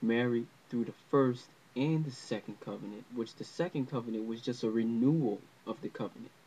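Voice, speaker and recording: Dark and mellow in tone, this man's voice sits at a medium pitch. He keeps a moderate pace with fairly even intonation. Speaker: religious teacher. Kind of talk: religious lesson to camera. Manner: unscripted, hesitant.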